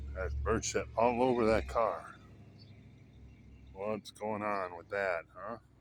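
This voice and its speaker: A man's fairly low voice at a very slow pace, with lively intonation, big swings in loudness and long, frequent pauses. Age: 60s. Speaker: vlogger. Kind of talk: casual vlog. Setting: outdoors, walking.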